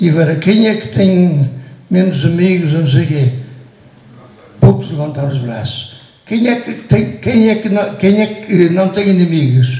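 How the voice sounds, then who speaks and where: A man with a high pitch and lively intonation, long, frequent pauses, noticeable background noise and audible room echo. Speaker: priest being honoured. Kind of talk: farewell speech. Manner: halting.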